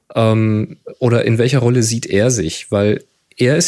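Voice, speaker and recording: A man speaks at a moderate pace and medium pitch, his tone dark and mellow. The recording is very clean, with a silent background. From Germany, Hamburg. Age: 40s. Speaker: photographer and podcaster. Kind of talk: casual chat.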